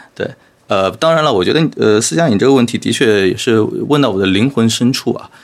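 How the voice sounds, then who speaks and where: A man at a medium pitch with a normal speaking voice and lively intonation. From Shanghai. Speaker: podcast host and education entrepreneur. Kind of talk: casual interview chat.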